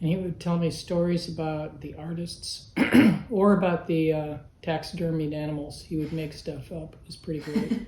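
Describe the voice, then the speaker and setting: A woman with an American accent speaks at a moderate pace and a fairly low pitch, her intonation fairly even but her loudness swinging widely. Noticeable background noise and audible room echo surround her voice. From Berkeley, California, US. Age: 60s. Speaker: artist. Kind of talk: interview answers.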